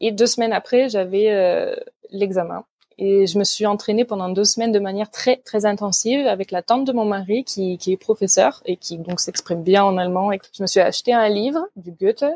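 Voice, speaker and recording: A woman speaks at medium pitch and a moderate pace with a normal speaking voice. Her pitch variation is ordinary, and the sound is dry and close with no echo. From Provence, France. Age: 30s. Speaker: student teacher. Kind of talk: casual interview.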